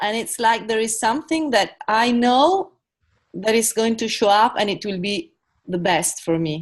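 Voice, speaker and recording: A lively, rising-and-falling delivery at a moderate pace with an Italian accent. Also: woman, fairly high pitch for a woman. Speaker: coaching participant. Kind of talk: testimony. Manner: halting.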